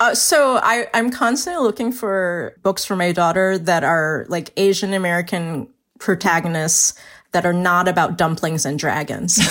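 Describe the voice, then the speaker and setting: A woman with a plain, everyday voice speaks at medium pitch and a moderate pace with ordinary pitch variation, on a very clean recording with a silent background. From US, Chinese-American family. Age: 40s. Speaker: novelist. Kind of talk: casual chat.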